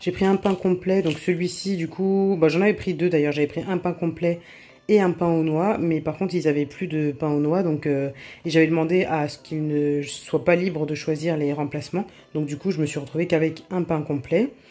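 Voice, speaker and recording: With a dark, mellow tone and fairly even intonation, a woman with a fairly low pitch speaks at a moderate pace. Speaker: cooking vlogger. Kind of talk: casual vlog chat. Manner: hesitant, many fillers.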